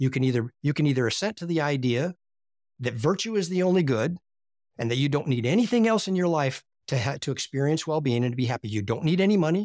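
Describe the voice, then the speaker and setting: A man's fairly high voice at a very fast pace, lively in intonation, with a dry, close sound and no echo. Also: very clean recording, silent background. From US, Appalachia. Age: 60s. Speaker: philosophy teacher. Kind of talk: interview conversation.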